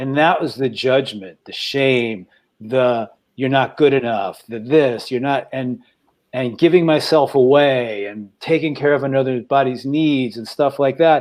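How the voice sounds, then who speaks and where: The man talks at a fairly slow pace. His pitch is medium, with ordinary variation. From New York. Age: 60s. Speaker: podcast co-host. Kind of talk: emotional sharing in a group talk. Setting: studio. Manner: halting.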